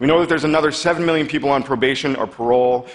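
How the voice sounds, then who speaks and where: The speech moves at a very fast pace. Its intonation stays fairly even. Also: man. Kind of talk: prepared public talk. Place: stage.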